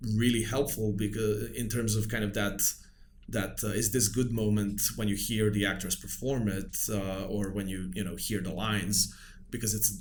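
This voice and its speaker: A man with a Serbian accent speaks in a fairly low, somewhat breathy voice with fairly even intonation, and the room echo is audible. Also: moderate pace. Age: 40s. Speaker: film director. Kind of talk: casual chat. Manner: halting.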